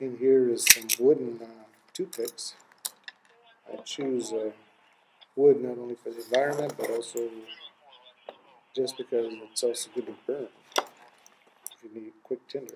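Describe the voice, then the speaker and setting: Amid noticeable background noise, a man talks with big swings in loudness and long, frequent pauses. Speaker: family man, everyday-carry enthusiast. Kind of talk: casual talk to camera. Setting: radio noise in background.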